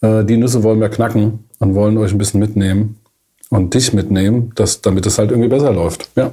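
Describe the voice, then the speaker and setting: A man speaks at a fairly quick pace and a fairly low pitch, his tone dark and mellow and somewhat breathy. His intonation stays fairly even and his loudness very even. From Germany, Frankfurt area. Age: 40s. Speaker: management consultant. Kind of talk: casual podcast chat.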